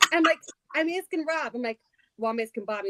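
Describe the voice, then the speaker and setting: Heard with a dry, close sound and no echo, a woman speaks with a slight New Jersey accent. Her pitch swings very widely. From New Jersey, Trenton. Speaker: livestream participant, crafter. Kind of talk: casual chat. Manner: animated.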